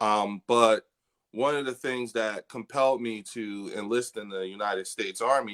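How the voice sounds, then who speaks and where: A plain, everyday voice from a man with an American accent, medium in pitch, fairly even in intonation, moderate in pace, with a dry, close sound and no echo. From Trenton, New Jersey. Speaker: army veteran and cannabis advocate. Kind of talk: interview.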